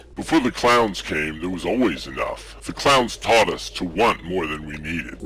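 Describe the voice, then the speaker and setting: A put-on character voice from a man, very deep and low, with very wide pitch swings, a moderate pace and clear background noise. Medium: audio drama. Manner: earnest, polite.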